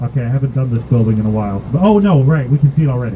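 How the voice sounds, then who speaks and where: A man with a fairly high pitch talks while noticeable noise fills the background. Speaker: architecture boat tour guide. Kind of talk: guided tour commentary. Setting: outdoors on a boat. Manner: fast.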